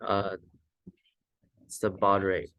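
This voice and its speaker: A man speaks in a monotone with flat intonation. His pitch is fairly low. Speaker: student robotics team member teaching a firmware tutorial. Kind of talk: tutorial. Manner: fast; casual, many fillers.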